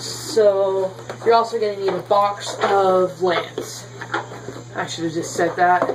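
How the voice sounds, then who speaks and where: In a room with audible echo and noticeable background noise, a woman speaks at a very slow pace with lively intonation. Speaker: YouTuber teaching card game deck building. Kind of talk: casual tutorial vlog. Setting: home bedroom. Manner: animated.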